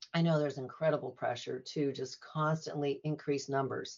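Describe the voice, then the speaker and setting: At a very fast pace, a woman speaks with a very deep, low pitch. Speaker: nurse practitioner, women's health. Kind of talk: casual interview conversation. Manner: fast talker, says she tends to talk too fast.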